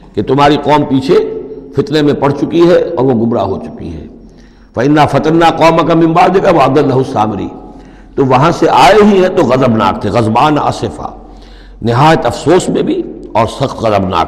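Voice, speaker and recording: Noticeable background noise surrounds speech with lively intonation. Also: man, fairly high pitch for a man. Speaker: Islamic scholar giving a religious lecture. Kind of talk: Quran exegesis lecture, sermon-style.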